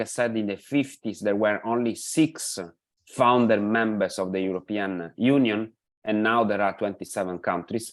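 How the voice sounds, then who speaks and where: The speaker is a man at a moderate pace. Behind him, the background is quiet. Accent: Italian. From Italy. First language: Italian. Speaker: pension policy expert. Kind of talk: lecture. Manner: halting, many fillers.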